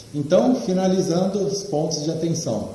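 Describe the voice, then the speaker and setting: In a room with audible echo and noticeable background noise, a man talks fairly slowly with lively intonation. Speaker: trading mentor. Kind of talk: online lecture. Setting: live online class with screen share.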